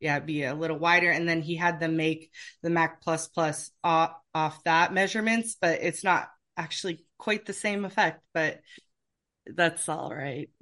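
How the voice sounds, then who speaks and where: With an American accent and a bright, sharp tone, the voice moves at a fairly slow pace with fairly even intonation over a quiet background. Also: woman, fairly low pitch for a woman. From US Pacific Northwest, Seattle. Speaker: oboe professor and orchestral English horn player. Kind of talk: interview, casual chat.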